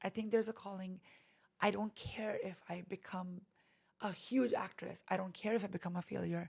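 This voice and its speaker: With an Indian accent, a woman speaks at medium pitch and a moderate pace in a somewhat breathy voice. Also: fairly even intonation. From India (Delhi), later Canada. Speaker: actress and boutique owner. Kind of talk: interview conversation. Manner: halting with fillers.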